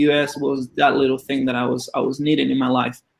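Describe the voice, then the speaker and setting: A man speaks with a Spanish accent at a fairly quick pace. His intonation stays flat and monotone. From Argentina. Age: 20s. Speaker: former college swimmer and Olympian. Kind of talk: interview.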